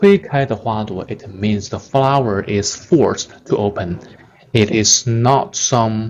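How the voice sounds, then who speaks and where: A man with a Chinese accent speaks at a medium pitch with ordinary pitch variation. His pace is very slow. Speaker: language teacher on video channel. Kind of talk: tutorial. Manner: halting, many fillers.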